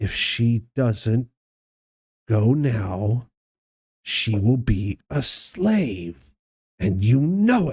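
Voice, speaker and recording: A man's put-on character voice at medium pitch, with a very slow pace and long, frequent pauses. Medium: actual play. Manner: coaxing, pressing.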